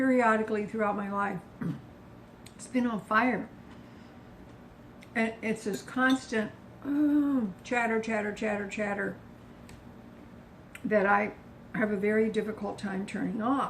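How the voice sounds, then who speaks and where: Somewhat breathy and relaxed in tone, a woman with a fairly high voice speaks fairly slowly with long, frequent pauses, fairly even intonation and big swings in loudness. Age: 70s. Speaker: low-carb lifestyle vlogger. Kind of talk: casual talk to camera. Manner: chatty, relaxed.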